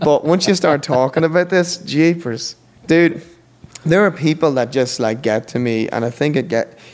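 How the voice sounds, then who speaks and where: There is noticeable background noise as a man with an Irish accent speaks at a moderate pace and a fairly high pitch. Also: ordinary pitch variation. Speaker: podcast guest. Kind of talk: interview conversation.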